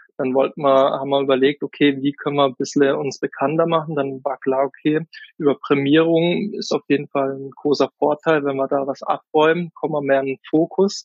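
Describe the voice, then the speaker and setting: A man speaks in a normal speaking voice. His intonation is fairly even and his pace moderate. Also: fairly high pitch for a man, hardly any pauses. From Kaiserstuhl, Baden, southwest Germany. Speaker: gin distiller and wine sales worker. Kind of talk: interview.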